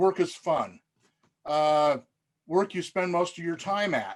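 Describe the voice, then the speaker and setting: A man talks in a high voice with fairly even intonation. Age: 60s. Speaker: event participant. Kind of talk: group video chat.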